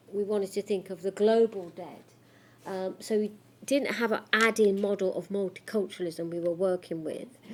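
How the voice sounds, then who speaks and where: A moderately paced voice in a Coventry accent, with fairly even intonation. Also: woman, medium pitch for a woman. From Coventry, England. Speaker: academic researcher. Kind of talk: lecture. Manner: halting.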